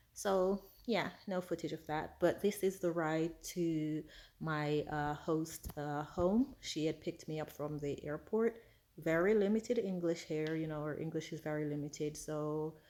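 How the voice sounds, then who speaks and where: On a very clean recording with a silent background, a woman speaks fairly slowly in a very deep, low pitch and a dark, mellow tone. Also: ordinary pitch variation. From Jamaica, then England. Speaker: travel vlogger. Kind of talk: travel vlog narration. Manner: casual, chatty.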